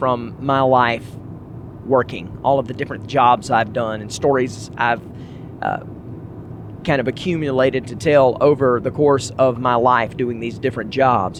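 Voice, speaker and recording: With noticeable background noise behind him, a man speaks at medium pitch in a Southern US accent. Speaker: podcast host. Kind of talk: casual monologue. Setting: in a car.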